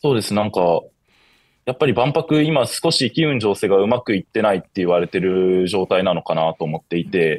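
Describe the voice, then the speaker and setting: This man talks at a fairly quick pace with a fairly low pitch and very wide pitch swings. The sound is dry with no echo, and the background is quiet. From Shizuoka, Japan; Japan. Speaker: university student; guest. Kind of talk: interview. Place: home room. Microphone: video call.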